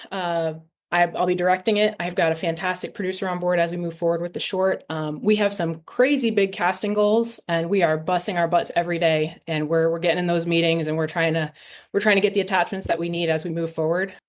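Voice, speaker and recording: In an American accent, a woman speaks at a very fast pace with fairly even intonation. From US Northeast, Rhode Island. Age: 30s. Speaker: film director. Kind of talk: podcast interview.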